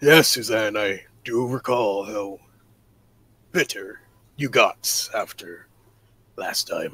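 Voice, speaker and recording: A man speaks in a put-on character voice at medium pitch, very slowly, with long, frequent pauses. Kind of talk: improvised character dialogue.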